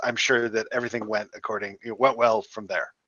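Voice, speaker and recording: In a put-on character voice, a man speaks fairly quickly in a raspy, medium-pitched, monotone, flat delivery. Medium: actual play. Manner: genial, chatty.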